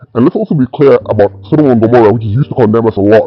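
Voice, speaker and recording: A man talks at a medium pitch with ordinary pitch variation, music playing in the background. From Ghana. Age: 60s. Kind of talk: interview answer.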